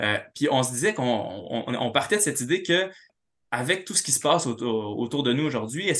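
A man talks with a fairly high pitch and a bright, sharp tone. The background is quiet. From Quebec City. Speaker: writer and literature professor. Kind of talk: academic talk.

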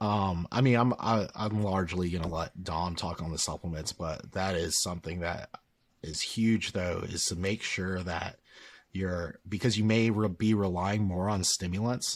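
A man speaks quietly in a very deep, low pitch on a very clean recording with a silent background. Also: fairly even intonation, moderate pace. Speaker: strength coach. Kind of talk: casual chat.

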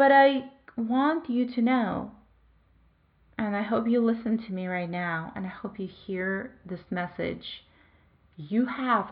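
Her intonation is lively and her voice somewhat breathy. The woman speaks at medium pitch. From Belarus. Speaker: wellness coach and podcast host. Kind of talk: motivational monologue. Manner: animated.

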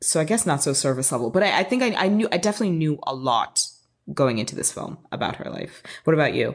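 A woman with an American accent talks at a very fast pace in a very deep, low pitch. Her animated tone swings very widely in pitch over a quiet background. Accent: switches between British and American accents. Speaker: podcast host. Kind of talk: casual chat. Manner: animated, excitable.

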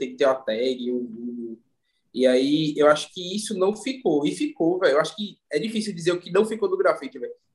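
Here is a man with a normal speaking voice and a fairly high pitch. He moves at a fairly quick pace with lively intonation. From Recife, Pernambuco, Brazil. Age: 30s. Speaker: visual artist. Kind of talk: casual interview chat.

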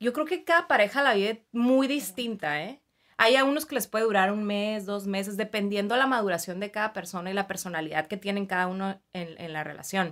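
Speaking at a fairly quick pace, a woman uses medium pitch and lively intonation with hardly any pauses. The recording is very clean, with a silent background. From Mexicali, Baja California, Mexico. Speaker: clinical psychologist. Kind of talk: interview. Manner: hesitant fillers.

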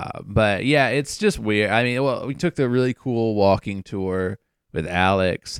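On a very clean recording with a silent background and a dry, close sound with no echo, a man with an American accent uses an ordinary speaking voice, fairly low in pitch, at a fairly slow pace. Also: ordinary pitch variation. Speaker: travel podcast co-host. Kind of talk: casual chat.

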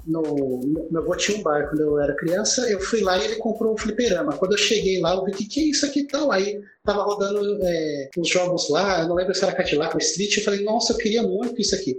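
Over noticeable background noise, a man talks at a fairly quick pace in a high pitch, with lively intonation, very even loudness and hardly any pauses. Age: 30s. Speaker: podcast co-host. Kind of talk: casual chat.

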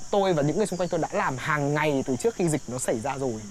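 Noticeable background noise sits under speech with lively intonation. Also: man. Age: 20s. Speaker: recent graduate and stage performer. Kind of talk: casual interview.

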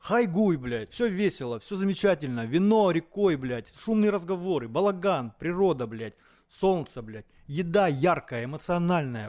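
The voice swings very widely in pitch and shifts greatly in loudness at a fairly slow pace. The recording is very clean with a silent background. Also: man. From Moscow, Russia. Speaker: chef. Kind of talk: casual chat.

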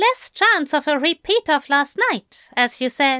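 In a put-on character voice, a woman speaks fairly slowly at a high pitch with lively intonation and a bright, sharp tone, the sound dry and close with no echo and the recording very clean with a silent background.

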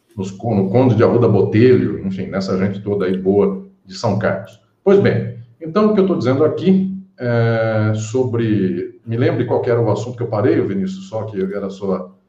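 Somewhat breathy and dark, mellow in tone, the voice moves at a moderate pace with ordinary pitch variation and audible room echo. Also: man, fairly low pitch for a man. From Brazil, interior of São Paulo state (Catanduva). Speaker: law professor and lawyer. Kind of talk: interview on a live-streamed podcast. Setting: live video stream.

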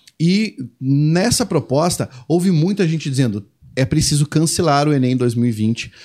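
A normal speaking voice from a man, fairly high in pitch with lively intonation, on a very clean recording with a silent background. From Brazil. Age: 30s. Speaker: Portuguese language teacher. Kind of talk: casual chat.

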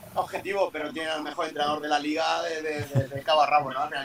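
A man speaks with a fairly high pitch. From Murcia, Spain. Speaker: basketball coach. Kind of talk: interview. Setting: video call from a parked car.

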